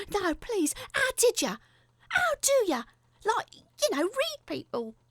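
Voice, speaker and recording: A woman does a put-on character voice at an extremely high pitch with very wide pitch swings, in a dry, close sound with no echo. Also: fairly slow pace. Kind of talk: horror story reading. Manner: shrill, accusing, agitated.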